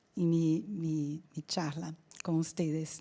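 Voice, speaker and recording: A woman at a very slow pace. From Brazil. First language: Portuguese (speaking Spanish). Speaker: insurance company executive. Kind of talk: business presentation.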